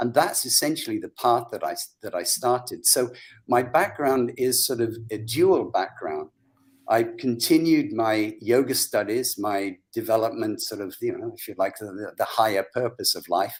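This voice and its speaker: Someone with an English accent speaks at a moderate pace, with big swings in loudness. The recording is very clean, the background silent. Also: man. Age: 70s. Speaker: psychologist and brain reprogramming practitioner. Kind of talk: interview. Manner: animated.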